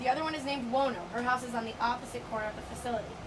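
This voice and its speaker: Someone talks at a very fast pace with fairly even intonation amid noticeable background noise. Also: woman. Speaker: dolphin trainer. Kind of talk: safety briefing to visitors. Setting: outdoors.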